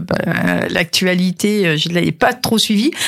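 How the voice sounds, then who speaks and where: Very slow speech from a woman with a fairly low voice and ordinary pitch variation. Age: 60s. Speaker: business owner and fashion designer. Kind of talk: radio interview. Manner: halting, many repetitions.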